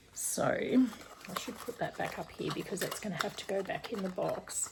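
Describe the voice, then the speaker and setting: Noticeable background noise runs through this clip. A woman talks at a moderate pace. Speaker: cross stitch YouTuber. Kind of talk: casual unboxing vlog.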